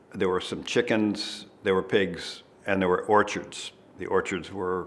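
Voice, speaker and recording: A man's very deep, low voice, fairly slow and monotone, with flat intonation. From US Northeast, Red Hook, New York. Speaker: interviewee on local history. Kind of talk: oral history interview.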